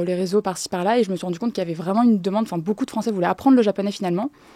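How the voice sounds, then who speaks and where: A dark, mellow voice with ordinary pitch variation, recorded very cleanly and dry and close with no echo against a silent background. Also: woman. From France, with summers in Japan. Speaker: Japanese language teacher. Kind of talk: podcast interview. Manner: hesitant, many fillers.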